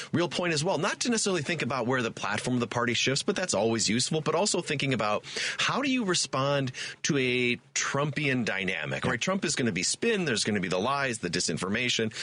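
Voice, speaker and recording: The speech moves at a very fast pace with very wide pitch swings and very even loudness. Noticeable background noise runs underneath. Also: man. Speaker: political science professor. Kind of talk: talk radio guest hosting.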